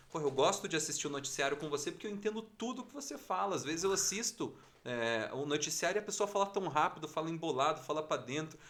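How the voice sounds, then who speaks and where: A man talks very fast with a Curitiba accent, his pitch fairly high. He barely pauses and his intonation is lively. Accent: Curitiba accent, kept on air. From Curitiba, southern Brazil. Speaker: TV news anchor and journalist. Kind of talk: casual interview chat. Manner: calm, clear articulation.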